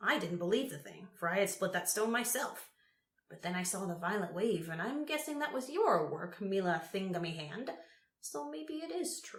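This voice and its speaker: A put-on character voice, rumbling and shaky, at a middle pitch and moderate pace. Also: female-sounding voice. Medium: read story. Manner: quavering, eccentric, grumbling.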